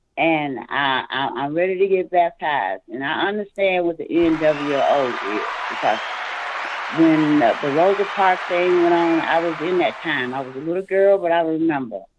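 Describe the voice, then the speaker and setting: Over crowd noise in the background, a woman talks at a fairly low pitch with ordinary pitch variation. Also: moderate pace. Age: 60s. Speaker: caller. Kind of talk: phone-in testimony. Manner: halting.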